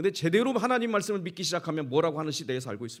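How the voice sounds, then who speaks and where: Very wide pitch swings mark a man's high voice as he speaks at a very fast pace. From Korea, Chungcheong region. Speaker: pastor, guest speaker. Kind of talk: sermon. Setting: church, revival meeting with congregation.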